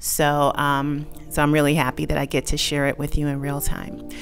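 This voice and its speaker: Faint music plays in the background as a woman speaks with a very deep, low pitch. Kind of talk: casual vlog chat. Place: garage. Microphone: phone near.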